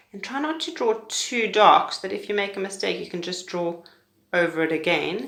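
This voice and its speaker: With audible room echo around her, a woman talks at a fairly quick pace and medium pitch, her intonation lively. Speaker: pre-primary teacher. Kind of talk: tutorial. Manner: fast.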